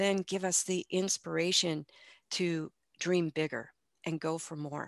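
A woman speaks with a slight Midwestern US accent, a fairly low pitch and fairly even intonation at a fairly slow pace. The sound is dry and close with no echo, over a quiet background. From US Midwest. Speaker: life coach and breast cancer survivor. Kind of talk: podcast interview. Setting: remote call.

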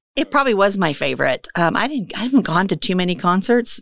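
A woman with a Midwestern American accent speaks at a very fast pace and medium pitch with lively intonation, captured on a very clean recording with a silent background. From western Kansas. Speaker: business owner and chamber board member. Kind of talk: casual interview.

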